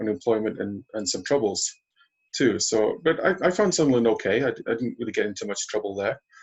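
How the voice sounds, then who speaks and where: A man speaks with a Cumbrian accent at a fairly quick pace. His pitch is medium. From northern England, Carlisle. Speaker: aikido practitioner. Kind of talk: interview. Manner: halting.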